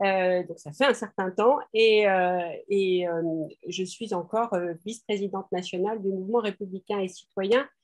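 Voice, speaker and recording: With a quiet background, a woman speaks at a medium pitch and a fairly slow pace, her intonation fairly even. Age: 60s. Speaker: parliamentary candidate, emergency doctor. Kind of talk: press conference presentation. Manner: halting, many hesitations.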